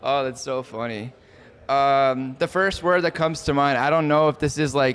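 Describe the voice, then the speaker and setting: This man speaks at a fairly high pitch with fairly even intonation. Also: moderate pace. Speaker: startup CEO. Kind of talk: on-camera interview. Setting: event venue, yacht club. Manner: soft-spoken.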